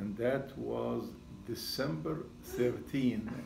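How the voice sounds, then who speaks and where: The speaker has a Syrian accent, heard with audible room echo and noticeable background noise. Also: man. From Syria, Damascus. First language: Arabic. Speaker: retired seismology professor. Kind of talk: talk to audience.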